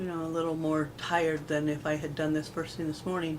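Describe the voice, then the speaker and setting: With noticeable background noise and audible room echo, a woman speaks at a fairly quick pace in a very deep, low pitch and monotone, flat intonation. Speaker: video blogger with MS. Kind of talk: casual vlog talk. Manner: halting.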